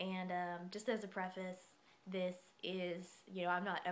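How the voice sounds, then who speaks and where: A soft-spoken woman's voice at medium pitch. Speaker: vlogger. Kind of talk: casual explainer monologue. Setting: dorm room. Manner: quiet, soft-spoken; hesitant, many fillers.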